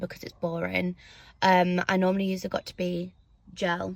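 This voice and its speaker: A woman with an English accent, flat and monotone in intonation. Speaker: beauty vlogger. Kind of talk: casual chat. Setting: in a car.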